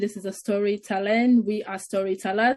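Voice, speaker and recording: The voice has a somewhat breathy quality. It belongs to a female speaker. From northern Greece, Nigerian family. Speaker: artist and filmmaker. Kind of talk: online panel discussion. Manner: halting, with restarts.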